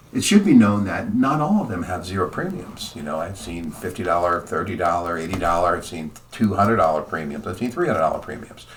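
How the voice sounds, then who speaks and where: A man with a very deep, low pitch speaks at a very fast pace with hardly any pauses and ordinary pitch variation. His loudness swings widely over noticeable background noise. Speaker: insurance agent. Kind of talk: tutorial.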